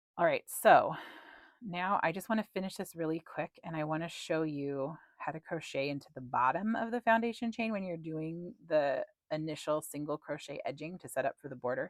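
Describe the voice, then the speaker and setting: A woman with a fairly low pitch and lively intonation talks at a moderate pace in a plain, everyday voice, in a very clean, dry, close recording with no echo and a silent background. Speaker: crochet instructor and pattern designer. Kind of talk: tutorial. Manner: casual, with filler words.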